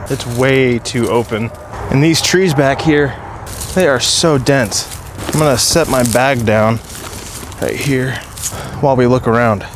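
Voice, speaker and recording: A man speaks at medium pitch and a fairly slow pace, leaving long, frequent pauses. His loudness stays very even and his pitch varies in an ordinary way, with noticeable background noise behind him. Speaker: outdoor vlogger. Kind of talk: casual vlog narration. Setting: outdoors on a hilltop. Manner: quiet, hushed.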